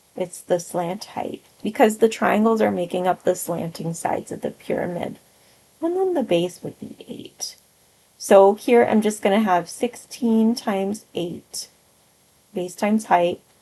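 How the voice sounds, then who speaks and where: Her loudness swinging widely, a woman speaks at a medium pitch with ordinary pitch variation. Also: fairly slow pace. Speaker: math teacher. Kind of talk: tutorial. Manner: slow.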